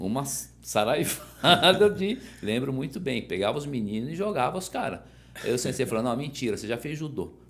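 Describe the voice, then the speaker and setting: A man with vocal fry speaks at medium pitch and a moderate pace, his pitch swinging very widely. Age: 60s. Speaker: judo master. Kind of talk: interview. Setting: podcast.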